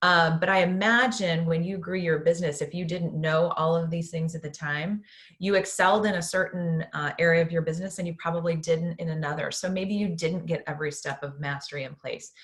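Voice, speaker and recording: A woman with an unremarkable speaking voice talks at a fairly low pitch and a fairly quick pace, with fairly even intonation and hardly any pauses. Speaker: business coach. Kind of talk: webinar workshop. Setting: online webinar. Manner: many filler ums.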